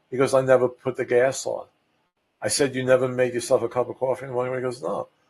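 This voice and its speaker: A man with a Brooklyn accent speaks in a somewhat breathy voice. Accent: New York (Brooklyn). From New York City (Brooklyn). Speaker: real estate agent. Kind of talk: podcast talk. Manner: casual, halting with fillers.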